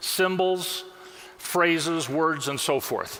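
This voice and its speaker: Noticeable background noise and audible room echo surround a man's voice. He speaks at a high pitch with lively intonation. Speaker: software product specialist. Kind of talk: conference product demo. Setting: stage with audience.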